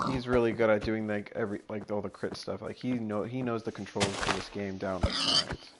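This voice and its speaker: A man with a fairly low voice talks at a fairly quick pace with hardly any pauses, his intonation monotone and flat. Noticeable background noise sits behind him. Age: young. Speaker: gaming streamer. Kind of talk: casual gameplay commentary.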